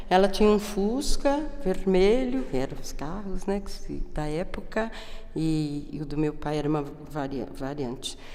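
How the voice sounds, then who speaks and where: Lively intonation marks a woman speaking at a fairly slow pace. Noticeable background noise and audible room echo surround her. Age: 60s. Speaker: historian. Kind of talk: oral history testimony. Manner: casual, hesitant with fillers.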